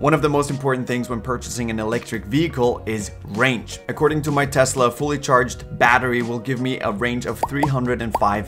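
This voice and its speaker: A man talks at a fairly quick pace with hardly any pauses and ordinary pitch variation. Music plays clearly in the background. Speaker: car owner reviewer. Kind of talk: product review talk. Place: home room.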